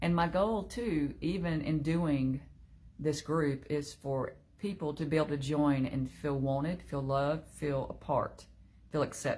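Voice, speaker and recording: The woman's pitch is very deep and low. She speaks at a fairly slow pace with ordinary pitch variation. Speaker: online group leader. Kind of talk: casual livestream talk. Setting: live video stream.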